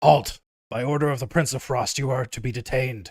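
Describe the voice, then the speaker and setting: A raspy, put-on character voice from a man, medium in pitch, at a fairly quick pace. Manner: commanding, icy.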